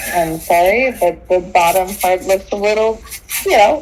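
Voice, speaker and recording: A female-sounding, put-on character voice speaks at a moderate pace in a medium pitch. Clear background noise can be heard. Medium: actual play. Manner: sarcastic, combative.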